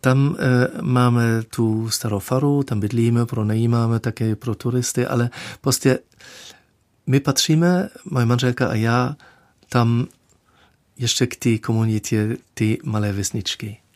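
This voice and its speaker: Speaking with a German accent, a man with a medium pitch goes at a very slow pace with ordinary pitch variation and long, frequent pauses, on a very clean recording with a silent background and a dry, close sound with no echo. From Germany. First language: German (speaking Czech). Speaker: dean candidate, theologian. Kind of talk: radio interview. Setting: studio. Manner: halting.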